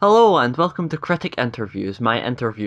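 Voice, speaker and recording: Fairly quick, lively speech in a bright, sharp tone with a Scottish accent. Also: man. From Scotland. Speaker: YouTube interview host. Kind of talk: casual interview. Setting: video call.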